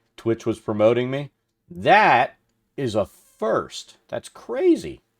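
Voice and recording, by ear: In a very clean recording with a silent background, a man speaks slowly at medium pitch, his voice swinging very widely and showing vocal fry.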